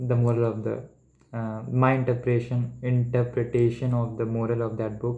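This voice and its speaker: A man with an Indian accent speaks at a moderate pace in a medium pitch, his tone dark and mellow and his intonation monotone and flat. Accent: Indian English, Hindi-speaking. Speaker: medical entrance exam student. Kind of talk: casual study vlog talk to camera. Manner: stuttering, hesitant.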